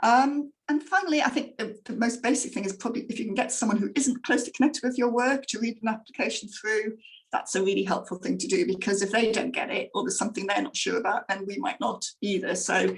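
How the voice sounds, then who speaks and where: With an English accent, a woman speaks quite quickly at a fairly high pitch, her intonation lively. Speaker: grant funder presenter. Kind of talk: online presentation. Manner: fast; hesitant, many fillers.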